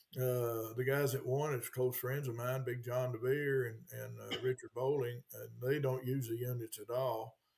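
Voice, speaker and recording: A man speaks with hardly any pauses in a medium pitch. His voice is somewhat breathy, the intonation monotone and flat. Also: moderate pace. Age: 70s. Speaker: retired bass tournament director. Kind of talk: podcast interview.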